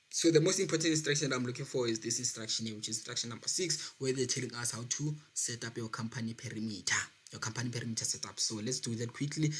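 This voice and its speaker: Somewhat breathy and medium in pitch, a man talks at a very fast pace with ordinary pitch variation. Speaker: accounting tutor on a video channel. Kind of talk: tutorial.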